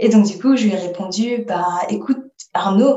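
A woman's fairly high voice carries lively intonation and sounds somewhat breathy. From Paris region, France. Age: 20s. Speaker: roller skating traveller. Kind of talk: interview.

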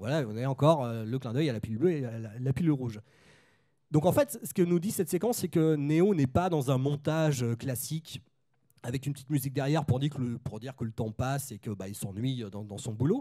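Talking at a fairly quick pace, a man with a medium pitch and a dark, mellow tone uses lively intonation while his loudness swings widely. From Nantes, western France. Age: 30s. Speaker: film critic and author. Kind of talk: panel discussion.

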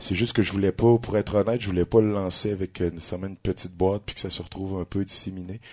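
A man's monotone, flat delivery at a moderate pace, on a very clean recording with a silent background. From Quebec, Trois-Rivières. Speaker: blues musician. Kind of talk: interview. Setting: club stage with live audience.

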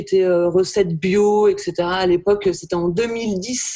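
Her pace is very slow. The woman has a medium pitch and a dark, mellow tone. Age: 40s. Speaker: photographer. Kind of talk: casual chat.

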